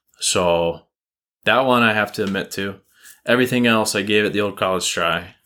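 On a very clean recording with a silent background, a man speaks at a moderate pace in a fairly low pitch, with a bright, sharp tone and fairly even intonation. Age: 20s. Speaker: hunter and software company employee. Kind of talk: casual interview chat.

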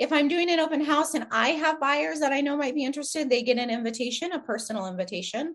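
Pitched high, a woman speaks at a very fast pace with hardly any pauses and ordinary pitch variation. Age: 40s. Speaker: real estate agent. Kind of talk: interview.

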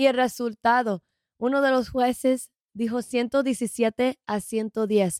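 At a very slow pace, a woman speaks in a high pitch with fairly even intonation. The sound is dry and close, with no echo. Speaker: boxing YouTuber. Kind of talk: casual chat. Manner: halting.

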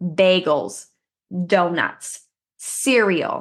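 A woman of medium pitch talks with vocal fry and ordinary pitch variation. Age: 20s. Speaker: fitness podcast co-host. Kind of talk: casual chat.

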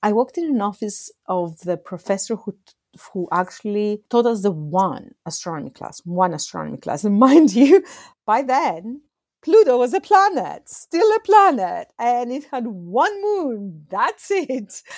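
Speaking in a Greek accent at a fairly slow pace, a woman lets her pitch swing very widely. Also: fairly high pitch for a woman. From Greece. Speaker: astronomer and nonprofit executive. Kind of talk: interview conversation.

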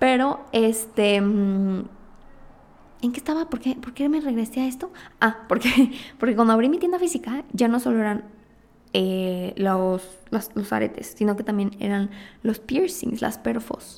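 A woman with a Mexican accent speaks fairly slowly in a fairly high pitch, her intonation lively and her speech broken by long, frequent pauses. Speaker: podcast host and entrepreneur. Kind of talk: casual monologue.

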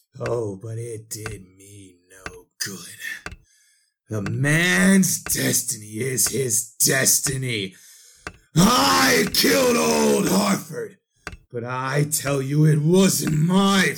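His pitch sits at a medium level but swings very widely. This man talks at a very slow pace, with big swings in loudness. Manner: desperate, pleading.

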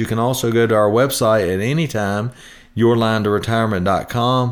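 Very clean and set against a silent background, the recording catches a man with an unremarkable speaking voice, medium pitch and a fairly quick pace. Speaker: retirement planning radio host. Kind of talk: radio pitchman patter, folksy sales pitch. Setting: podcast, recorded. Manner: upbeat, chatty, salesman-like, jokey.

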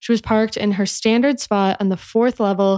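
Recorded very cleanly with a silent background and a dry, close sound with no echo, a woman with an American accent speaks at a moderate pace and medium pitch in a plain, everyday voice. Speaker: podcast host. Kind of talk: true-crime narration. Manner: measured, even storytelling pace.

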